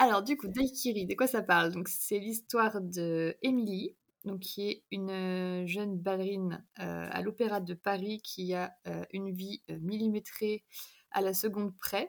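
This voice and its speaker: The speech runs at a fairly slow pace with fairly even intonation. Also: woman, medium pitch for a woman. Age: 20s. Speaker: novelist. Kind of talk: casual chat.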